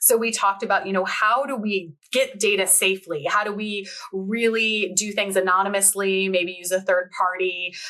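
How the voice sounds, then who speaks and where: A woman talks at a moderate pace with fairly even intonation and a medium pitch. Noticeable background noise sits behind her. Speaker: workplace wellbeing organization founder. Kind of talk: podcast interview. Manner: calm, toned-down corporate voice.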